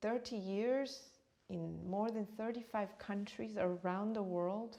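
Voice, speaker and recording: Very slowly, a woman talks in a medium pitch and a dark, mellow tone with fairly even intonation. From born in Uganda, raised partly in India, then New York. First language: Swahili. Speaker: meditation teacher and author. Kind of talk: interview.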